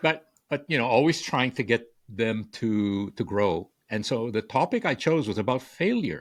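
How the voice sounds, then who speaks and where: A man speaks at a medium pitch and a moderate pace, his intonation lively, on a very clean recording with a silent background. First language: Spanish. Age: 60s. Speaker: author and communication coach. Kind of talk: podcast interview. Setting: podcast. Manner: halting, many repeated words.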